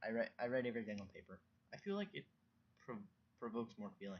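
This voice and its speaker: Soft-spoken, a man talks at a medium pitch with very wide pitch swings. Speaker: vlogger. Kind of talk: casual monologue. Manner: halting.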